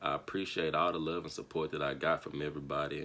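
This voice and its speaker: Noticeable background noise sits under a man with an American accent. He talks at a moderate pace with ordinary pitch variation. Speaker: vlogger and singer. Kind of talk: casual vlog storytelling.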